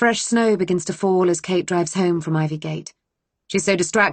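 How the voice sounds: Quiet background behind a natural reading voice of ordinary pitch variation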